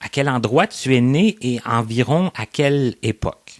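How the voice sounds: The man talks at a slow pace and a medium pitch.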